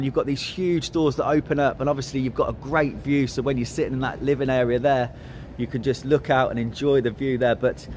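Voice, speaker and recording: A man talks fairly quickly, with light background noise behind him. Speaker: presenter. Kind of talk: walk-around product tour. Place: hall. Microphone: phone near.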